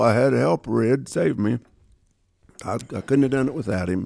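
A man talks at a fairly quick pace with lively intonation and vocal fry. The recording is very clean, with a silent background. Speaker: dog trainer. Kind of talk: casual chat.

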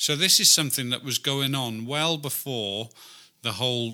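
This man speaks at a moderate pace and medium pitch, his tone bright and sharp, with ordinary pitch variation. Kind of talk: mock ring announcer bit, playful boxing-style shout.

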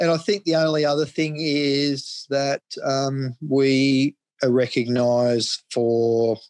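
A man with an Australian accent talks at a very slow pace and fairly even intonation. The sound is dry and close, with no echo. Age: 50s. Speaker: cattle farmer. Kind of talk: interview.

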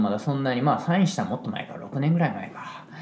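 With a Kansai accent, a man speaks at a fairly high pitch amid audible room echo and noticeable background noise. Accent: Kansai dialect Japanese. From Japan, Osaka (Kansai). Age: 40s. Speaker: hairdresser and salon owner. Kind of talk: casual solo monologue.

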